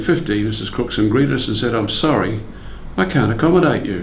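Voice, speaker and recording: Medium-pitched male speech with lively intonation and an Australian accent. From Brisbane, Australia. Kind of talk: oral history interview recollection.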